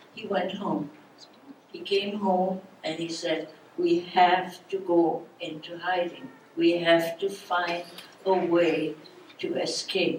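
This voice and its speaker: With noticeable background noise, a woman speaks very slowly at a fairly low pitch, her intonation monotone and flat, her loudness swinging widely, and her pauses long and frequent. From Germany. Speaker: Holocaust survivor speaker. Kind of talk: public talk.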